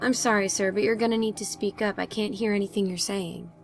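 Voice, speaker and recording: A woman talks very fast in a raspy, put-on character voice at medium pitch, with clear background noise behind her. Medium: audio drama. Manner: brisk, professional.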